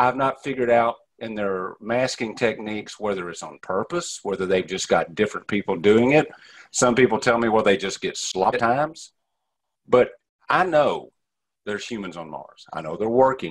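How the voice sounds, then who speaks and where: Over a very clean, silent background, a man with an East Texas accent talks at a moderate pace and medium pitch, with lively intonation and big swings in loudness. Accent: East Texas Southern. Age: 50s. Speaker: ufologist. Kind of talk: interview.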